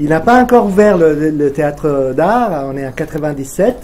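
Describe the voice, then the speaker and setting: Over noticeable background noise, a man speaks at a very slow pace. His fairly high voice has lively intonation. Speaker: event moderator. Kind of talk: reading aloud. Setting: stage with audience. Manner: halting.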